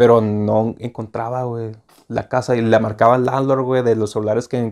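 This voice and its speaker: The voice belongs to a man. Little can be heard behind him besides quiet. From Mexicali, Baja California, Mexico; Baja California, Mexico. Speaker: student; interview guest. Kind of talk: casual chat. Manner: casual, halting. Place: home room. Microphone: lapel.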